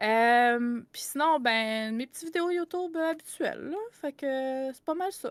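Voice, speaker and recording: Speaking with a Quebec accent at a fairly slow pace, a woman uses a high pitch, lively intonation, and big swings in loudness. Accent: Québécois French. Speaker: content creator and game master. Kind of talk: podcast interview.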